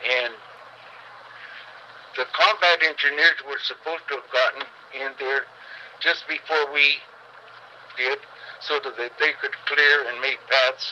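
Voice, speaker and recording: An American man speaks at a fairly slow pace with long, frequent pauses, his pitch fairly high with ordinary variation. Noticeable background noise runs beneath him. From Manteca, California. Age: 80s+. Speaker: World War II veteran. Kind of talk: interview answer.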